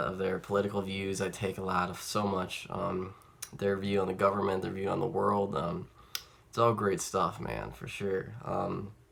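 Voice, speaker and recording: Noticeable background noise sits under this recording. The speaker is a man with a fairly low pitch. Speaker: music collector vlogger. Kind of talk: casual chat. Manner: halting; animated.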